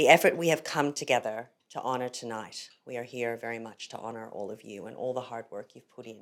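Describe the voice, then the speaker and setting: A woman with an American accent speaks with a very deep, low pitch and ordinary pitch variation. She hardly pauses, and her loudness swings widely. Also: fairly quick pace. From United States. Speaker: ethics educator, program head. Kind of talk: formal speech.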